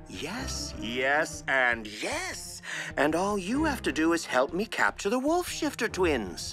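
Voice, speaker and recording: A cartoonish character voice talks at a fairly slow pace. Clear music plays in the background. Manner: smooth, honeyed, manipulative.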